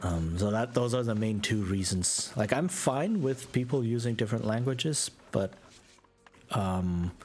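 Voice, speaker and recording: With music in the background, a man with an American accent talks at a fairly slow pace and medium pitch, his intonation lively. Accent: very American accent in English. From Germany. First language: German. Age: 30s. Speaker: video game streamer. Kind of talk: casual live-stream gameplay chat. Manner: hesitant, many fillers and repeats.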